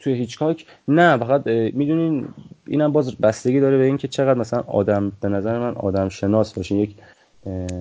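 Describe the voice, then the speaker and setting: A man talks fairly quickly in an ordinary speaking voice, medium in pitch with ordinary pitch variation. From Iran, Mashhad. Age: 20s. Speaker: podcast guest telling life story. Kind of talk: casual interview conversation.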